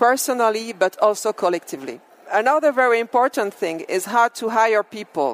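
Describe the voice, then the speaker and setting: A woman speaks with a French accent in a dry, close sound with no echo. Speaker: business executive. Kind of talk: keynote speech.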